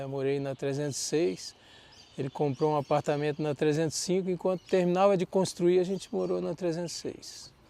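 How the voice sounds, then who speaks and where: A man's normal speaking voice, fairly high for a man, with ordinary pitch variation at a moderate pace. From Brasília, central Brazil. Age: 60s. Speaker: agronomist. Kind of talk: life-story interview. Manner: conversational, with false starts.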